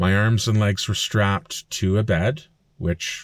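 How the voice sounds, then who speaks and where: In a Canadian accent, the voice moves with ordinary pitch variation. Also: man. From Canada, Alberta (Fort McMurray). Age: 40s. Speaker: vlogger. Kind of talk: personal vlog monologue. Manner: casual with frequent fillers.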